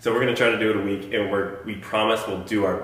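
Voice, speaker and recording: Speaking at a fairly quick pace and fairly low pitch, a man is heard with audible room echo and noticeable background noise. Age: 20s. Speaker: powerlifter and fitness podcast co-host. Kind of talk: casual chat.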